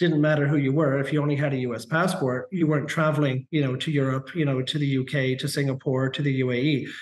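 Over noticeable background noise, a man with a fairly high pitch talks at a fairly quick pace with hardly any pauses, very even loudness and monotone, flat intonation. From Canada. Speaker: immigration consultant. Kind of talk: interview. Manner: halting, many repeated words.

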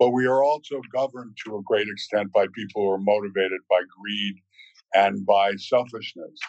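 A man's plain, everyday voice, fairly low in pitch, at a moderate pace with fairly even intonation. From US South, Virginia. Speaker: actor. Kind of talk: casual chat.

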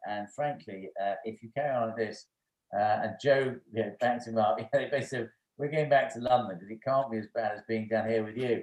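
In an English accent, a man speaks at a medium pitch with ordinary pitch variation. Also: moderate pace, big swings in loudness. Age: 50s. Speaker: former finance executive. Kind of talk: casual chat.

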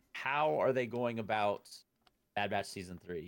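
On a very clean recording with a silent background, a man talks at a fairly quick pace. He has a plain, everyday voice with ordinary pitch variation. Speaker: podcast host. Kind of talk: casual chat.

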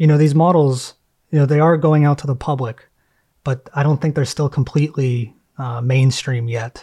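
On a very clean recording with a silent background, a man speaks in a somewhat breathy, fairly high voice with ordinary pitch variation. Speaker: podcast host. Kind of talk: interview.

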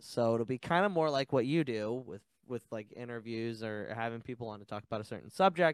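A normal speaking voice from a man at a medium pitch comes at a fairly quick pace with lively intonation and big swings in loudness, in a dry, close sound with no echo. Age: 20s. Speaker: podcast co-host guest. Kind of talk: casual chat. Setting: video call.

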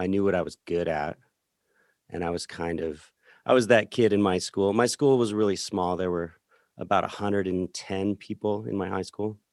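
A man with an American accent talks at a moderate pace in an ordinary speaking voice, fairly low in pitch with ordinary variation. The recording is very clean, with a silent background and a dry, close sound with no echo. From rural Colorado, San Luis Valley. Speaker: musician and record producer. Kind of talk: casual interview chat.

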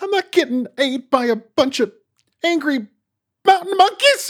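A high-pitched, put-on character voice at a moderate pace. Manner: frightened, protesting.

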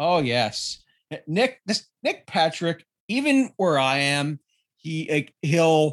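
With a Canadian accent and an unremarkable speaking voice, a man talks at a fairly high pitch with lively intonation. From Canada. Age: 30s. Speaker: wrestling podcaster. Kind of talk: casual chat.

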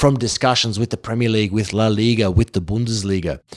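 A man talks with a slight Australian accent. The recording is very clean, with a silent background. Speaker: football presenter. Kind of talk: interview.

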